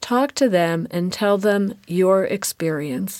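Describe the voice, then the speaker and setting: A woman's medium pitch with ordinary variation, at a very slow pace, in a very clean recording with a silent background. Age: 60s. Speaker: menopause patient sharing her story. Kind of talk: personal testimony.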